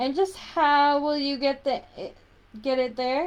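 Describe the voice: A woman speaks in a put-on character voice, high-pitched and growling. Her pace is fairly slow.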